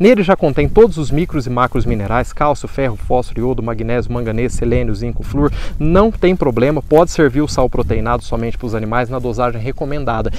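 A man talks at a fairly quick clip with hardly any pauses and ordinary pitch variation, in a dry, echo-free sound with light background noise. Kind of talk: tutorial. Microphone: phone near.

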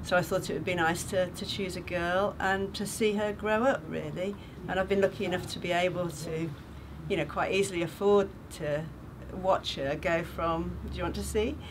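A woman with a warm tone and fairly low pitch speaks at a moderate pace with fairly even intonation over noticeable background noise. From England. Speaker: charity sponsor and retired teacher. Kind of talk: testimony. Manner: warm, chatty with frequent hesitations. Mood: warm, thoughtful.

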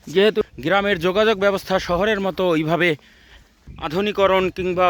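A man talks in a high voice with fairly even intonation. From Bangladesh, Barishal region. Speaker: travel vlogger. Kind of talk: vlog narration. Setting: outdoors. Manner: halting.

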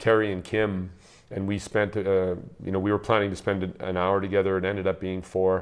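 Against a quiet background, a man speaks at a fairly quick pace with a fairly low pitch and monotone, flat intonation. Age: 60s. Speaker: ice hockey head coach. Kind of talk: interview. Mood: warm, reflective. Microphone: lapel.

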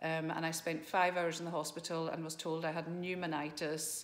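A woman talks at a moderate pace. Her pitch sits fairly low. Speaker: open water swimmer. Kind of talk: casual talk to camera. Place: home room. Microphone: phone near.

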